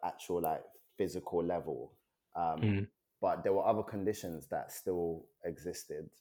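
The tone is dark and mellow, with a London accent. The recording is very clean, against a silent background. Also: man. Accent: London, British. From Nigeria, then South London (Peckham) from age seven. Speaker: poet and author. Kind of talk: casual chat.

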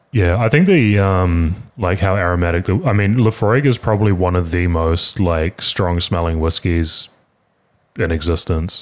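A man with a New Zealand accent speaks in a very deep, low voice with ordinary pitch variation, on a very clean recording with a silent background. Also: very even loudness. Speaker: podcast host. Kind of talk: casual chat. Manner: fast.

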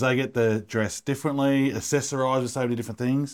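In an Australian accent, the speaker talks at a very fast pace with fairly even intonation on a very clean recording with a silent background. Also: man. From Melbourne, Australia. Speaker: podcast co-host. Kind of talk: casual interview.

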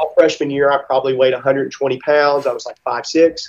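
Here a man with an American accent talks at a moderate pace. He has an ordinary speaking voice with a fairly high pitch. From US South, Mississippi. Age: 30s. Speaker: gym owner and fitness athlete. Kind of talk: casual interview. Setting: video call from a gym recovery room.

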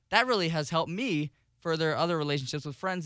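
A man speaks very fast in a very clean recording where the background is silent. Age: 20s. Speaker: radio associate producer and college student. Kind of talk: casual chat.

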